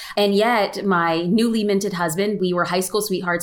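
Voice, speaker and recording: The words come at a very fast pace with fairly even intonation. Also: woman. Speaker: photographer and social media educator. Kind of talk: casual interview. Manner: fast talker.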